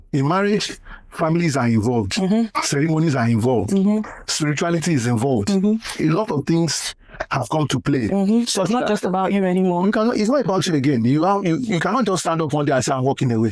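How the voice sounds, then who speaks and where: Talking at a very fast pace in a high voice, a man keeps his loudness very even while his pitch swings very widely over noticeable background noise. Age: 60s. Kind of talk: interview answer, life advice.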